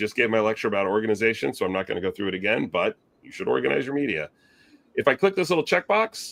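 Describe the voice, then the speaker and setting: Recorded dry and close with no echo, a man speaks at a very fast pace with big swings in loudness. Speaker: video editor presenter. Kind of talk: software tutorial presentation.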